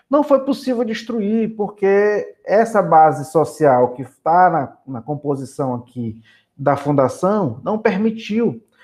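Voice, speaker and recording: A man speaks very slowly at a high pitch, with hardly any pauses. His pitch swings very widely, his loudness rises and falls sharply, and the background is quiet. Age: 40s. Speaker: politician and social worker. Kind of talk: interview.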